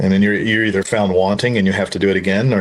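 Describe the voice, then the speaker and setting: Talking at a very fast pace, a man has a fairly low pitch. His intonation stays fairly even. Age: 60s. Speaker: combat and shooting instructor. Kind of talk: casual interview chat.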